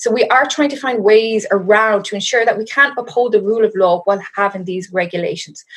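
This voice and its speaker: With an Irish accent and hardly any pauses, a woman talks at a fairly quick pace with ordinary pitch variation over noticeable background noise. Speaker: law lecturer and researcher. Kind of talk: interview. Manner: hesitant, many fillers.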